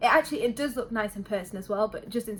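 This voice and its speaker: A woman with a British accent, medium pitch and a fairly quick pace, over noticeable background noise. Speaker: beauty vlogger. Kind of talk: product review. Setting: home bedroom. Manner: fast; casual.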